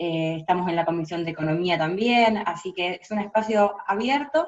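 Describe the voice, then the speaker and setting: A woman with a Rioplatense accent, medium pitch, ordinary pitch variation and big swings in loudness. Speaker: international relations lecturer and researcher. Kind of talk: interview. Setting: video call. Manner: fast.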